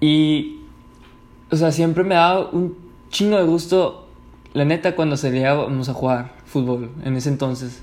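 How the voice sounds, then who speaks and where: Long, frequent pauses break up a man's fairly slow speech. His voice is fairly high, with ordinary pitch variation. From Mexico, Ciudad Juárez, Chihuahua. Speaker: podcaster. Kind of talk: casual storytelling monologue. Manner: relaxed, filler-heavy.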